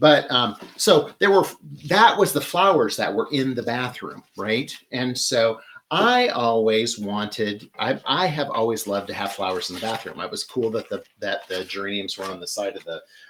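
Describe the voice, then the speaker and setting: A man talks with a Midwestern accent. His voice shows big swings in loudness and very wide pitch swings. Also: medium pitch for a man, moderate pace. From US Midwest, Michigan. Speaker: florist and floral design host. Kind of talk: live floral design demonstration. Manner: casual, chatty with many fillers; clipped vowels, shortens words.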